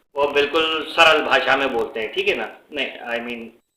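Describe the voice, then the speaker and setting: A man with a Pakistani accent and a fairly high pitch, at a moderate pace, amid audible room echo. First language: Urdu (speaking Hindi). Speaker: YouTuber. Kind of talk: casual commentary vlog. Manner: halting, many fillers.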